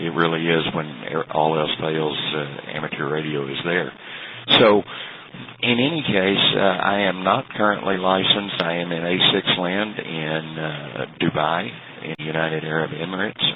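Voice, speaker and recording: A very deep, low male voice with a Texan accent over noticeable background noise. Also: ordinary pitch variation, moderate pace. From Texas. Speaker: amateur radio operator. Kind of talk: radio contact conversation. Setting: internet radio link. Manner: halting, many fillers.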